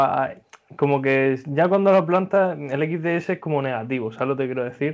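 A man's ordinary speaking voice, pitched fairly high, with ordinary pitch variation and a moderate pace. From Murcia, Spain. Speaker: podcast host. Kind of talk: casual chat.

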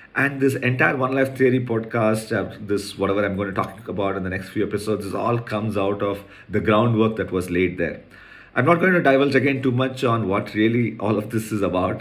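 Audible room echo surrounds a man talking at a fairly quick pace in a fairly low pitch with ordinary pitch variation. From India, Chennai. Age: 40s. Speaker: podcast host, entrepreneur. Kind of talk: personal monologue podcast.

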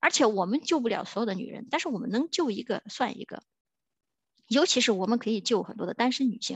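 Over a quiet background, a woman with a fairly high pitch talks at a very fast pace in an animated tone, with lively intonation, big swings in loudness and a dry, close sound with no echo. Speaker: podcast host. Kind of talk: solo monologue rant. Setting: recording at work during lunch break.

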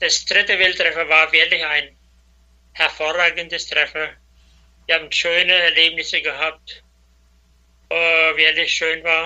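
A man with a high-pitched voice speaks at a fairly slow pace in a flat monotone, his tone bright and sharp, with long, frequent pauses. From Batschka region, Serbia (Danube Swabian). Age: 70s. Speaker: former president of a cultural federation. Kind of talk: interview. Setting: WhatsApp call.

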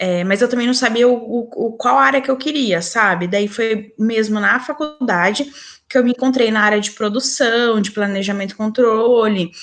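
This woman has an ordinary speaking voice, fairly high in pitch. She speaks at a moderate pace with ordinary pitch variation. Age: 30s. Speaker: podcast guest, mother. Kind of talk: casual chat.

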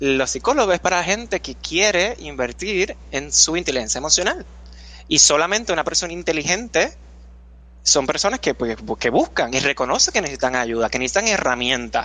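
This man speaks at a fairly quick pace. The background is quiet. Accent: Puerto Rican. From Puerto Rico. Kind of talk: casual interview.

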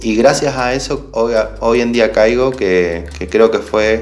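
The voice shows ordinary pitch variation, with audible room echo and music playing in the background. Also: man. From Bariloche, Argentina. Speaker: music student and guitar teacher. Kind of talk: recorded self-introduction video.

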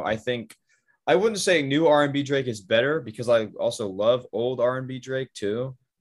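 A man has a normal speaking voice with an American accent. He talks at a moderate pace with ordinary pitch variation. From US Pacific Northwest (Bend, Oregon). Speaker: podcast host. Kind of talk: casual chat.

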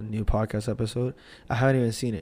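A man with a fairly low pitch and a dark, mellow tone speaks at a very fast pace. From Puerto Rican background. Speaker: podcast host. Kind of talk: casual solo monologue.

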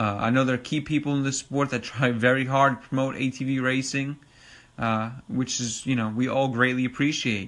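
A man with a Long Island accent talks at a medium pitch. His intonation is fairly even, and the background is quiet. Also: moderate pace. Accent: New York (Long Island). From Long Island, New York. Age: 30s. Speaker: podcast host and ATV racing enthusiast. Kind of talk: casual solo podcast monologue. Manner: casual, filler-heavy, informal.

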